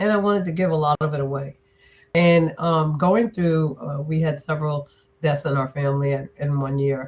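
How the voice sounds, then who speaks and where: A woman speaks at a very deep, low pitch. Her intonation is fairly even. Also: moderate pace. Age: 60s. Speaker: business and leadership strategist, author. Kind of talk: interview.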